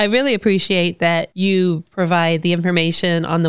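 In an American accent, a woman speaks at a medium pitch and moderate pace with an animated, enthusiastic tone. The recording is very clean, with a silent background. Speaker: podcast host. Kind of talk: podcast interview, casual chat.

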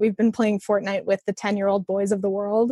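This woman has an unremarkable speaking voice with an American accent and a fairly high pitch. Her delivery is fairly quick, and the sound is dry and close with no echo. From Chicago area, Illinois. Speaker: user experience designer. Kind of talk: casual interview.

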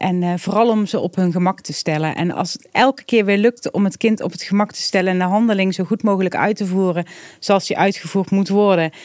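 A woman with a normal speaking voice and medium pitch talks at a fairly quick pace with fairly even intonation and hardly any pauses, in a dry, close sound with no echo. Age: 40s. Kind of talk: casual interview.

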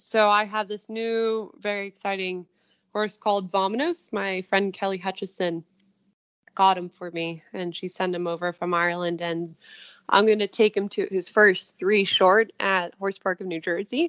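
A woman with an American accent and an unremarkable speaking voice talks at a moderate pace with medium pitch and fairly even intonation, in a dry, close sound with no echo and a quiet background. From US. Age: 20s. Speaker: equestrian eventing rider. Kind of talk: interview.

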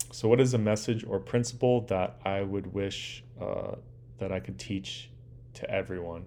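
Speaking with an American accent, a man talks at a fairly low pitch and a moderate pace with ordinary pitch variation. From US West Coast, Southern California (Orange County). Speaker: podcast host and dive company owner. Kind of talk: solo monologue podcast, self-interview. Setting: living room.

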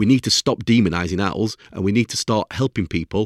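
At a moderate pace, a man speaks with ordinary pitch variation in a dry, close sound with no echo. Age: 40s. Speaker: sleep expert podcast host. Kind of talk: solo educational talk.

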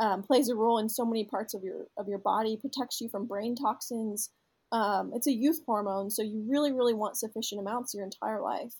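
The recording is very clean, with a silent background. A somewhat breathy woman speaks with fairly even intonation. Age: 20s. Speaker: health startup founder. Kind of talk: casual interview.

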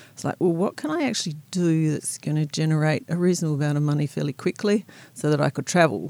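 The speaker talks very fast in an Australian accent, with a dark, mellow tone and ordinary pitch variation. The recording is very clean, with a silent background. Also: woman, very deep, low pitch for a woman. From South Australia, rural. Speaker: winemaker. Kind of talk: interview. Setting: studio.

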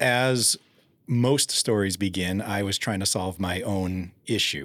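An unremarkable speaking voice from a man, fairly low in pitch, with ordinary pitch variation and a fairly slow pace. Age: 40s. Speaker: holistic health expert, chemical engineer. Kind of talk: interview.

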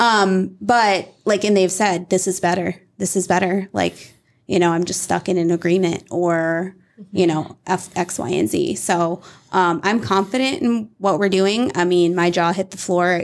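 A woman with an American accent speaks in a normal speaking voice at medium pitch. Her pace is fairly slow, with ordinary pitch variation. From Iowa, US Midwest. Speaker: real estate brokerage executive. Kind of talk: casual interview.

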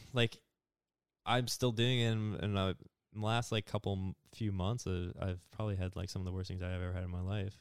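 Speaking with fairly even intonation at a fairly low pitch, a man has an unremarkable speaking voice. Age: 20s. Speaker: podcast guest discussing anxiety. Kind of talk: casual chat.

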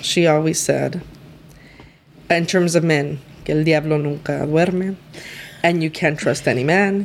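Speaking with a Spanish accent, a woman uses a very deep, low pitch at a fairly slow pace, with long, frequent pauses. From East LA. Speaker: lawyer. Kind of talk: casual interview chat.

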